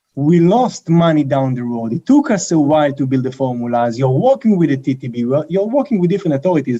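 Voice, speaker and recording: A man speaks with a strong Israeli accent and a fairly high pitch. His tone is dark and mellow. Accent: heavy Israeli. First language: Hebrew. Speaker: company co-founder and CEO. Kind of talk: interview. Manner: thoughtful.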